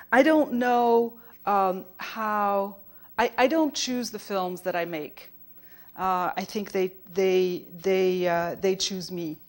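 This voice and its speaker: A woman's very slow, lively speech in a French accent, medium in pitch, on a very clean recording with a silent background. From France. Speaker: documentary filmmaker. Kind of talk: conference keynote talk. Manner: halting, many fillers and restarts.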